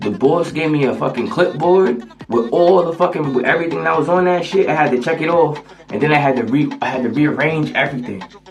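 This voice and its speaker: Over music in the background, someone talks at a very fast pace in an animated tone, with ordinary pitch variation and audible room echo. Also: man, fairly high pitch for a man. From US Northeast, I-91 corridor (Connecticut/Massachusetts). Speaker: vlogger. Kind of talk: casual rant vlog. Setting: bathroom. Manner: animated, repetitive with stammered restarts.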